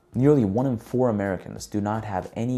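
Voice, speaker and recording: Over music in the background, a man with a fairly low pitch talks at a fairly quick pace with ordinary pitch variation. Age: 30s. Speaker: vlogger giving life advice. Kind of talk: scripted talk to camera.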